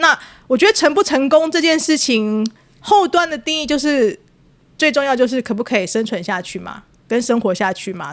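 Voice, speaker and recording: The pitch swings very widely, delivered at a moderate pace. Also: woman. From Taiwan, Taipei (Wanhua). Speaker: podcast host. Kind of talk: casual chat.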